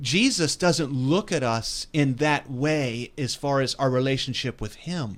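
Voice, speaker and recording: Speaking at a fairly slow pace, a man with an unremarkable speaking voice uses ordinary pitch variation at a fairly high pitch. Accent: American. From West Virginia. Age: 50s. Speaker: pastor. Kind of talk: religious discussion podcast. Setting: recorded broadcast.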